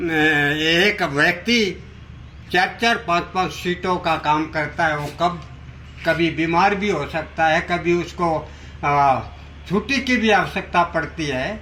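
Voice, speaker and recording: His voice sits high for a man. The rise and fall of his pitch is ordinary. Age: 70s. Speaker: retired clerk and election candidate. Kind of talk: news interview. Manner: halting.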